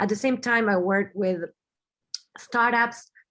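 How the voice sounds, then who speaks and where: A woman with a Spanish accent against a quiet background. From Argentina, Buenos Aires. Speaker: business strategist and designer. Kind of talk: webinar talk. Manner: halting, with frequent fillers and repeats.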